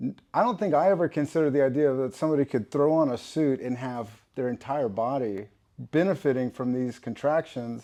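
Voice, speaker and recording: Over a quiet background, a man with an American accent talks at a fairly quick pace in a fairly high pitch, his tone dark and mellow with ordinary pitch variation. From Texas. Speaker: podcast host. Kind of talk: casual interview.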